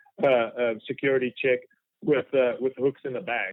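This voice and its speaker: A man speaks at a medium pitch with a South African accent. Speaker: fly fishing guide. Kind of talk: podcast interview. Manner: halting, many fillers.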